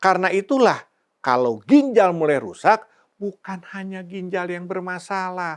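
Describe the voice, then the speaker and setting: Over a quiet background, a man with a high voice speaks at a fairly slow pace, his intonation lively and his loudness swinging widely. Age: 50s. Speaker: health educator, channel owner. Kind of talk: scripted educational talk. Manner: slow, clear.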